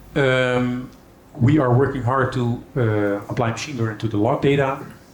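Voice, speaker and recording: The intonation stays fairly even. Audible echo fills the room. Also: man, medium pitch for a man. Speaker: software company executive. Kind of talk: conference keynote. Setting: stage with audience. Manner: fast; hesitant fillers.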